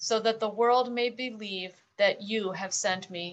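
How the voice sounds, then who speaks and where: A woman speaks with a fairly high pitch and ordinary pitch variation. The background is quiet. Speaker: scripture reader. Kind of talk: scripture reading.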